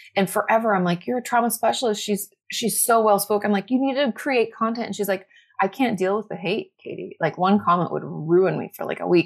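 Speaking at a fairly quick pace, a woman uses a medium pitch with ordinary pitch variation. Hers is an unremarkable speaking voice, heard on a very clean recording with a silent background. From US Northwest, Washington State. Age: 30s. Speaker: therapist and mental health content creator. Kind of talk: casual chat.

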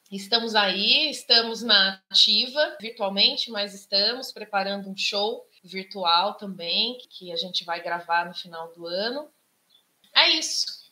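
Using an ordinary speaking voice, a woman talks fairly slowly at medium pitch. Her intonation is lively and her loudness swings widely. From Socorro, São Paulo interior. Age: 40s. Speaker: musician and activist. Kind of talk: panel talk.

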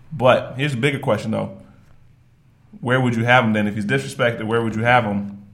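Speaking very fast with an American accent, a man of medium pitch shows ordinary pitch variation. Long, frequent pauses break his speech, and audible room echo is present. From Virginia, US. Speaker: podcast co-host. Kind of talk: casual chat.

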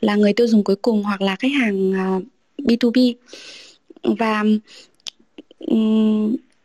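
Her pitch sits fairly high and her voice is somewhat breathy. The woman speaks at a fairly slow pace, with a dry, close sound and no echo. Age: 30s. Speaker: customer experience manager. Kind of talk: casual panel discussion.

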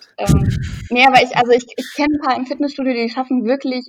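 Over music in the background, a woman talks at a high pitch with fairly even intonation. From near Düsseldorf, Germany. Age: 20s. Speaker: fitness YouTuber. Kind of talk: casual chat.

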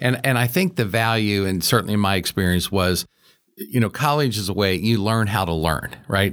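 Speaking at a moderate pace with a Midwestern American accent, a man uses a fairly low pitch and ordinary pitch variation. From Cincinnati, Ohio. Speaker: real estate executive. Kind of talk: interview.

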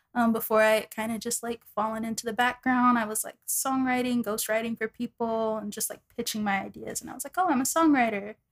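A woman with an American accent and an unremarkable speaking voice talks at a fairly quick pace and fairly high pitch, her intonation fairly even but her loudness swinging widely, in a dry, close sound with no echo. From Texas, Dallas. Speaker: insurance adjuster and singer. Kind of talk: casual interview.

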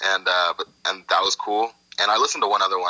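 A man talks very fast in an American accent. The sound is dry and close with no echo, with noticeable background noise. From Los Angeles (Inglewood), US. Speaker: hip hop artist. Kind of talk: casual chat.

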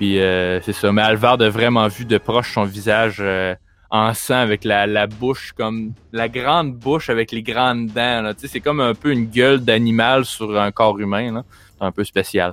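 At a fairly slow pace, a man with a Quebec accent speaks at a medium pitch with fairly even intonation. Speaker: game master of a tabletop role-play podcast. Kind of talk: tabletop game narration. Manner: halting, with frequent fillers and repeats.

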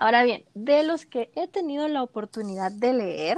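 A woman with a high pitch and lively intonation speaks at a moderate pace, the sound dry and close with no echo against a quiet background. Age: 20s. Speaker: podcast co-host. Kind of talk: casual chat.

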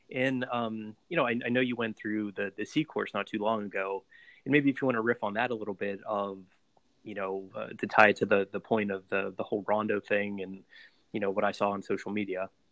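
A man with an American accent and a plain, everyday voice talks at a fairly quick pace, his fairly low pitch held in fairly even intonation. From Pittsburgh, US. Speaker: podcast host. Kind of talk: interview.

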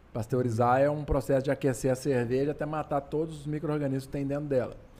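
The man's fairly high voice has a dark, mellow tone. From Minas Gerais, Brazil. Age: 40s. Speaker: craft brewer. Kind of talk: casual chat.

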